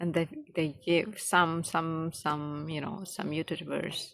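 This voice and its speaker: A woman talks at a very slow pace with a fairly low pitch. The recording is very clean, with a silent background. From Indonesia. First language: Indonesian. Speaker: English learner vlogger. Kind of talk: casual monologue. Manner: halting, many fillers.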